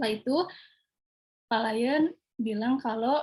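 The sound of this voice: A woman's fairly high voice with a slightly husky edge, a slightly mellow tone, ordinary pitch variation and a fairly slow pace.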